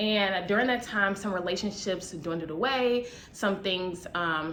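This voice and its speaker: A woman's fairly slow speech in an American accent, at a medium pitch with ordinary pitch variation and audible room echo. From US Midwest, Chicago. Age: 20s. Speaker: vlogger, nurse. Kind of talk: casual vlog to camera.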